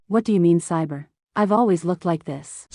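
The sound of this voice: Someone speaks at a fairly quick pace in a cartoonish character voice against a quiet background. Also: woman, fairly low pitch for a woman.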